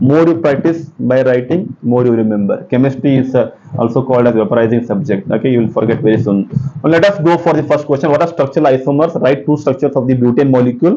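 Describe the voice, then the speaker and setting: A man at a very fast pace and medium pitch, with very even loudness, ordinary pitch variation, and noticeable background noise. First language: Kannada. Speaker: chemistry teacher. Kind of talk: exam-prep lecture. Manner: halting, with many fillers.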